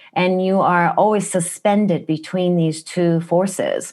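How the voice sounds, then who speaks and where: A woman with a Japanese accent speaks fairly slowly at a medium pitch, with ordinary pitch variation and a quiet background. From Japan, Kumamoto (Kyushu). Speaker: wellness practitioner. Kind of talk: interview. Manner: direct, blunt.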